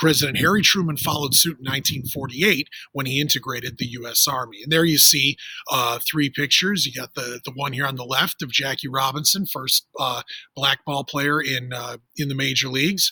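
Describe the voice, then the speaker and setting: This man has an unremarkable speaking voice, pitched fairly high, with ordinary pitch variation. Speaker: teacher. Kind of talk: classroom article reading with commentary. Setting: outdoors.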